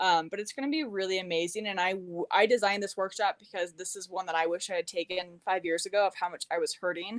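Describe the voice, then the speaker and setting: A woman at medium pitch, with ordinary pitch variation, talks at a very fast pace with hardly any pauses in a dry, close sound with no echo. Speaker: holistic nutrition practitioner. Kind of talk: interview on live stream. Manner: animated.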